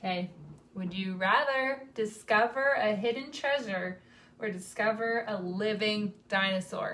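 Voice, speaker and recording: A woman speaks at a fairly slow pace with an American accent. Her pitch varies in an ordinary way. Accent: Southern US, varies in strength. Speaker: singer in a vocal group. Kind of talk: live stream Q&A chat. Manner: casual, with fillers.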